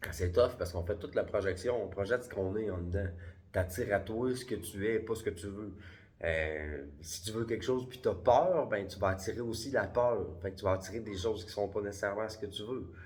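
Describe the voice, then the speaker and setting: Speaking at a fairly quick pace with a Quebec accent, a man uses a fairly low pitch and a somewhat breathy voice. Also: ordinary pitch variation. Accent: Québécois French. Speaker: spiritual vlogger. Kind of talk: casual vlog monologue. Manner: hesitant fillers.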